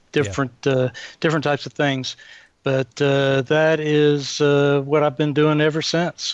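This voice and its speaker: A man's fairly high voice at a fairly slow pace, with monotone, flat intonation and very even loudness. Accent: Atlanta. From Atlanta area, US South. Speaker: continuous improvement consultant. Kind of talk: podcast interview.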